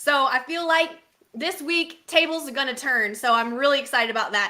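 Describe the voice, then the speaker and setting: A woman with a Texas accent, high-pitched and bright and sharp, her voice raised and projected, animated and fairly quick. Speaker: baseball podcast co-host. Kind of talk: casual chat.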